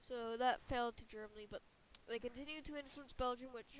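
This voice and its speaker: A woman speaks in a high, squeaky voice with monotone, flat intonation. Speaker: alternate history map narrator. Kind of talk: casual narration. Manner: halting, many fillers and restarts.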